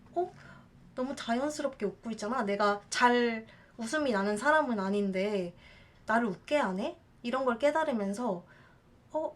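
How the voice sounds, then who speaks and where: A woman's fairly high voice, lively in intonation, at a moderate pace. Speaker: hula dancer and teacher. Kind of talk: casual talk to camera.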